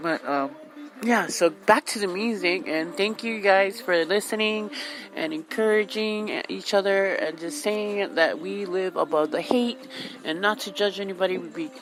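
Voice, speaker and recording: Lively intonation from a woman, with noticeable background noise. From Hawaii. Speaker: radio host. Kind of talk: casual monologue. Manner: loud.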